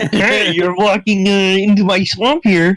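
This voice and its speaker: A croaky, put-on character voice sits at a middle pitch. It moves at a moderate pace. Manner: menacing, gruff.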